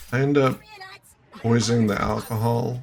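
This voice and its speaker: A man's medium-pitched voice, monotone and flat, at a moderate pace over noticeable background noise. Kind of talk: gameplay commentary.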